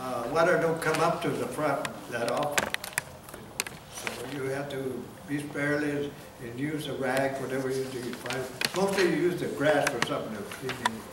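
A man talks at a moderate pace, with long, frequent pauses. Loud background noise and audible room echo fill the recording. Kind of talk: informal storytelling to a group. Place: hall. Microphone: camera far.

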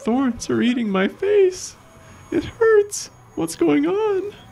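A put-on character voice at a very slow pace

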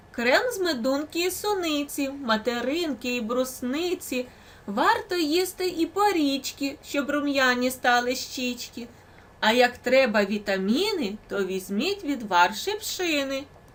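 Using a put-on character voice, a woman talks in a high pitch at a fairly slow pace over light background noise. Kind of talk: bedtime story. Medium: read story.

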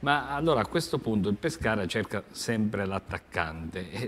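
A man's ordinary speaking voice, fairly low-pitched, at a fairly slow pace. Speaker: TV sports talk show host. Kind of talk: sports talk show discussion. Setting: TV studio. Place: studio. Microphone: lapel.

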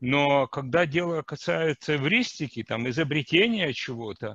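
A bright, sharp tone carries lively intonation at a fairly slow pace. The sound is dry, with no echo. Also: man. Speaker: seminar audience member; audience member. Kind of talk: Q&A discussion. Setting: video call. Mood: curious, thoughtful. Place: home room. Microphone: headset.

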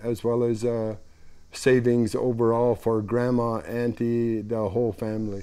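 In a dark, mellow tone, a man speaks with monotone, flat intonation against a quiet background. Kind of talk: interview answer. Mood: calm, hopeful. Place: workshop. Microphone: lapel.

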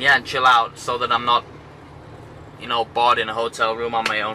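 Light background noise sits under the recording. A man speaks with monotone, flat intonation. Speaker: travel vlogger. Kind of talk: casual vlog chat. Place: car. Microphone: phone near.

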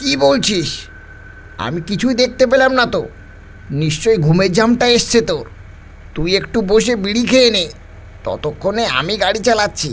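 Over clear background noise, a man does a put-on character voice pitched high, moving at a moderate pace.

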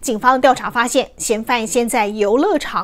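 At a fairly slow pace, a woman speaks in a high pitch. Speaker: news anchor. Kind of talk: TV news anchor reading. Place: studio.

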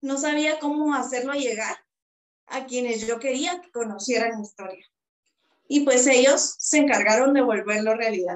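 Speaking in a Guatemalan accent, a woman uses a high pitch with ordinary pitch variation at a moderate pace, against a quiet background with audible room echo. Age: 20s. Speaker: psychologist and author; interviewee. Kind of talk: interview. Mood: reflective, heartfelt. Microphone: video call.

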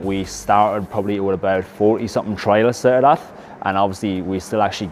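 Music plays in the background as the speaker talks at a very fast pace with fairly even intonation. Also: man. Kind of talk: interview answer. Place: gym. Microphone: lapel.

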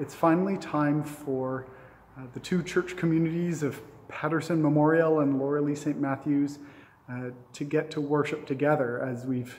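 The pace is fairly slow and the intonation fairly even. Light background noise can be heard. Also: man. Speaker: pastor. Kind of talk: church announcements and service opening. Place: church. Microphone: phone near.

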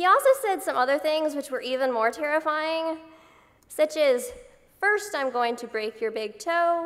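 Her intonation is lively and her pitch high. The woman keeps a moderate pace. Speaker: patient advocate and university student. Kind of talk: conference speech. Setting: stage with audience. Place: hall. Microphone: podium.

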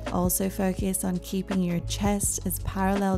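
Clear music plays in the background. A woman speaks at a fairly slow pace. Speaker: yoga instructor. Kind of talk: guided yoga class instruction.

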